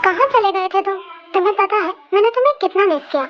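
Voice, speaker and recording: A woman uses a put-on character voice, squeaky and extremely high in pitch. She talks at a fairly quick pace. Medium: read story. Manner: sly, scheming.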